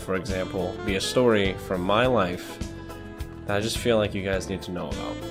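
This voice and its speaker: Music plays in the background as the speaker talks at a fairly quick pace. The voice has an American accent and ordinary pitch variation. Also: man. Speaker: retail worker. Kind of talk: casual talk to camera.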